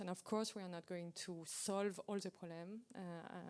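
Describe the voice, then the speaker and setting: With a French accent, a woman talks at a moderate pace. Her medium-pitched voice stays monotone and flat. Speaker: aviation regulator presenting at workshop. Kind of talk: technical Q&A answer. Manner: hesitant with fillers.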